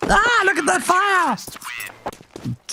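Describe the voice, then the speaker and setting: The speaker uses a put-on character voice. It sits at an extremely high pitch. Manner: exaggerated, playful.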